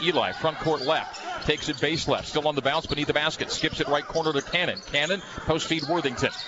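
Noticeable background noise behind a man speaking at a fairly high pitch. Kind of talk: live sports play-by-play commentary. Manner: fast, rapid-fire play-by-play calling; excited, animated on big plays.

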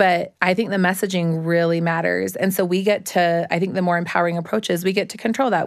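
A woman speaks at a fairly quick pace with medium pitch and fairly even intonation. Hers is an unremarkable speaking voice. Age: 30s. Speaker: body positive social media influencer and business owner. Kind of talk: casual chat.

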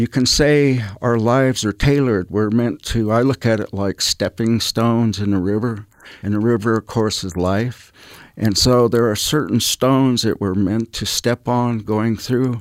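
A man with a normal speaking voice, medium pitch and fairly even intonation at a fairly slow pace, in a very clean, dry, close recording with no echo and a silent background. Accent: American. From US West, northeastern Utah (Ute reservation). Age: 60s. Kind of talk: interview on faith.

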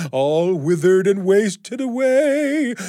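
In a put-on character voice, a man speaks with a high pitch at a fairly slow pace. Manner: spooky.

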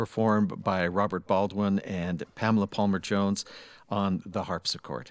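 At a moderate pace, a man talks in an animated tone with a fairly low pitch. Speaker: radio host. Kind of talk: radio interview in studio. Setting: studio. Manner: animated, friendly, joking.

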